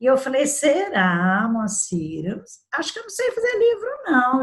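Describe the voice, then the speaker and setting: The speech comes at a fairly slow pace. The voice is somewhat breathy. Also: woman. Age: 60s. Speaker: labor lawyer and debut author. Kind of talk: interview. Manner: halting.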